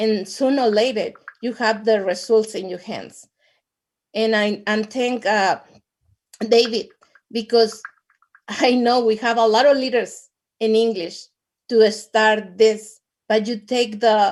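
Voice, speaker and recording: A woman with a Latin American accent talks at a fairly slow pace, leaving long, frequent pauses. Her intonation is fairly even. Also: fairly high pitch for a woman. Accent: non-native English, Latin American. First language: Spanish. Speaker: network marketing distributor. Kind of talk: testimony. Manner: halting, repeats words.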